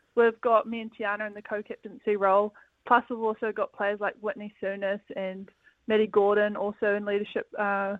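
With a New Zealand accent, a woman talks fairly quickly at a medium pitch. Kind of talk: casual interview. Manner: relaxed, hesitant with fillers.

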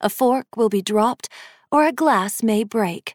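A woman speaks fairly slowly in a plain, everyday voice, fairly high in pitch with ordinary pitch variation. The recording is very clean with a silent background, and the sound is dry and close with no echo. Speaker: audiobook narrator. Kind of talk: scripted story narration, ghost story.

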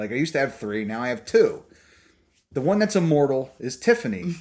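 A man talks at a fairly quick pace over a quiet background. His pitch is fairly high and swings very widely. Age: 40s. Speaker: podcast host. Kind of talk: casual banter. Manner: profane, bantering.

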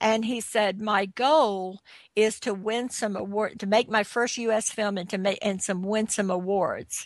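A woman with an unremarkable speaking voice talks fairly slowly at a fairly high pitch. Her intonation is fairly even, and the background is quiet. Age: 60s. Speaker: film producer and entrepreneur. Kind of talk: interview.

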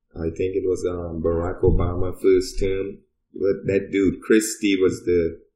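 Somewhat breathy male voice with an American accent, very deep and low in pitch, with a dark, mellow tone, monotone, flat intonation and a fairly slow pace. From Trinidad, southern part. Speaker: cannabis podcast guest. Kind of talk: casual chat.

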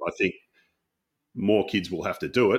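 Very fast speech comes through. It carries an Australian accent. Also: man. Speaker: podcaster and baseball commentator. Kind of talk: casual interview chat.

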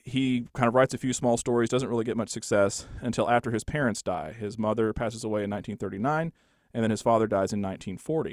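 A man talks very fast at a medium pitch, with ordinary pitch variation. The recording is very clean with a silent background and a dry, close sound with no echo. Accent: Texan. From Texas Panhandle, Borger. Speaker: local history author. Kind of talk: interview.

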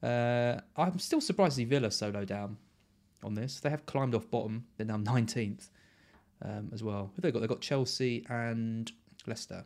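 Recorded very cleanly against a silent background, a man talks at a medium pitch with ordinary pitch variation. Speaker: fantasy football podcast host. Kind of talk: casual chat. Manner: fast.

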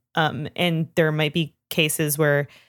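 On a very clean recording with a silent background and a dry, close sound with no echo, a woman with a Canadian accent speaks fairly slowly at a very deep, low pitch. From Canada. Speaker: podcast co-host. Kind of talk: casual chat. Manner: animated.

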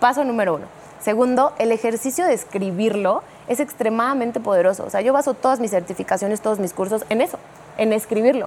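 Amid noticeable background noise, a woman with a fairly high pitch and ordinary pitch variation speaks very fast. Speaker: neurolinguistics specialist and communication coach. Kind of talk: talk show conversation. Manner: explanatory, teacherly.

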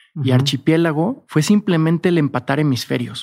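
In a Mexican accent, a man talks at a very fast pace and fairly high pitch with ordinary pitch variation. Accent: Mexican Spanish (Jalisco). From Mexico, Guadalajara (Jalisco). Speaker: entrepreneur, hospitality business founder. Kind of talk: casual interview chat.

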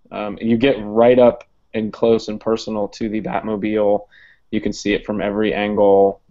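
Monotone, flat delivery at a moderate pace, with an American accent. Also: man, fairly low pitch for a man. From Ohio. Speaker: teacher and podcast co-host. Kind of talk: casual chat.

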